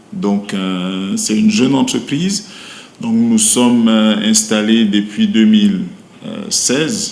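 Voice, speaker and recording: Very slow speech with a Cameroonian accent and very wide pitch swings, amid noticeable background noise and audible room echo. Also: man. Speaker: brewery company manager. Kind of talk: interview. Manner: hesitant, many fillers.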